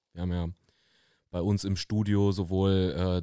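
Very deep and low, a man's voice comes through with a dark, mellow tone and monotone, flat intonation at a fairly slow pace. The recording is very clean, with a silent background. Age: 30s. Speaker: fitness studio owner and podcast host. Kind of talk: casual chat. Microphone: very close to the microphone.

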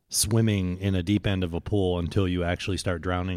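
A man's very deep, low voice at a moderate pace, very clean recording with a silent background. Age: 50s. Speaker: podcast host. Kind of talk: casual chat. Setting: studio.

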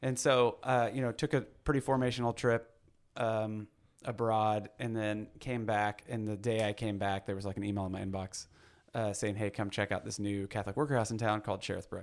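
Fairly low in pitch and fairly quick, a man with an American accent uses an ordinary speaking voice with fairly even intonation, recorded very cleanly against a silent background. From Missouri (Blue Springs). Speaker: pastor and activist. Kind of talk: casual interview.

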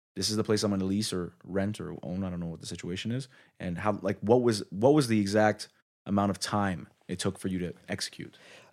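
A normal speaking voice from a man, fairly low in pitch, with fairly even intonation at a fairly quick pace on a very clean recording with a silent background. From Quebec, Canada. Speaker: podcast host. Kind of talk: casual interview. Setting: in a restaurant.

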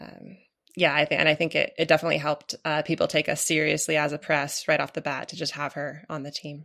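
A woman with an American accent speaks at a very fast pace in a very deep, low voice with a bright, sharp tone. Her intonation is monotone and flat, her loudness swings widely, and the recording is very clean with a silent background. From US Pacific Northwest, Portland, Oregon. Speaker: novelist and writing teacher. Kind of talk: interview conversation. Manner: hesitant, many fillers.

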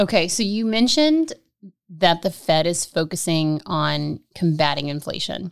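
A woman with an ordinary speaking voice and a fairly low pitch speaks at a fairly slow pace with ordinary pitch variation. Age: 30s. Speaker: financial education manager. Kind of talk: casual chat.

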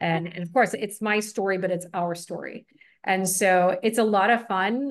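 In an American accent, a woman talks at a medium pitch with ordinary pitch variation, against a quiet background. She has an ordinary speaking voice. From Buffalo, New York, US. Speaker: real estate broker. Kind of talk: interview.

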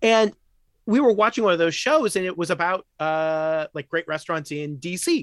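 With an American accent, a man talks at a moderate pace and a high pitch, his pitch varying in an ordinary way, the sound dry and close with no echo over a quiet background. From US Midwest, rural Illinois. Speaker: professor and nuclear arms control expert. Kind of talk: casual interview.

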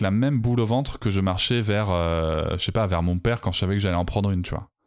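Fairly low male voice in a very clean recording with a silent background. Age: 40s. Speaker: parenting podcaster and coach. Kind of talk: personal testimony interview. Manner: hesitant, many fillers.

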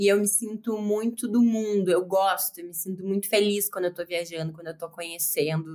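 Fairly quick and fairly even in intonation, a woman speaks at medium pitch. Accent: southern Brazilian. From Southern Brazil, Rio Grande do Sul (Porto Alegre). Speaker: sports journalist. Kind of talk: casual interview chat.

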